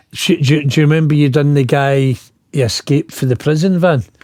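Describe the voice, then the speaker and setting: A man speaks with a Scottish accent. His pitch is fairly high. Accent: Scottish, slowed down for English listeners. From Scotland, Glasgow. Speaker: former bank robber. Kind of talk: casual chat.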